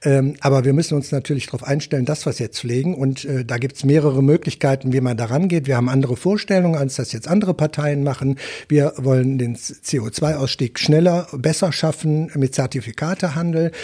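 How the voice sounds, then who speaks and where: Speaking at a fairly quick pace with hardly any pauses, a man uses a fairly high, somewhat breathy voice with a dark, mellow tone and ordinary pitch variation. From Wuppertal, Germany. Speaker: politician, member of parliament. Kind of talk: interview. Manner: hesitant, many fillers.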